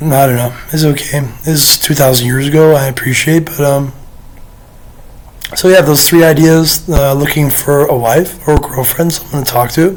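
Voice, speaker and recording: A man with a fairly high pitch and fairly even intonation talks at a moderate pace amid noticeable background noise. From United Kingdom. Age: 30s. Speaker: vlogger. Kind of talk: casual monologue to camera. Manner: hesitant, many fillers.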